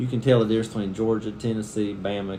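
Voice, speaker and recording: Audible room echo surrounds the speaker. He is a man with an American accent. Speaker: family vlogger. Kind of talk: casual chat.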